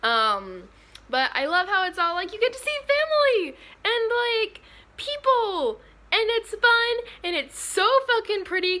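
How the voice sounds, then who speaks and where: Raising and projecting her voice, a woman talks at a fairly slow pace with a bright, sharp tone. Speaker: vlogger. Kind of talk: casual vlog chat. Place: home room. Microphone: phone near.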